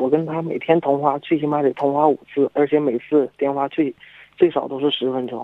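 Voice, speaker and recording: A man speaks at a fairly high pitch in a flat, monotone way. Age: 20s. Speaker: caller, university student. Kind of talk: call-in advice chat. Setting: phone call.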